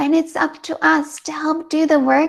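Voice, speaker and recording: A woman with an American accent, speaking at a fairly slow pace. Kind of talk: panel interview. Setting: video call from living room.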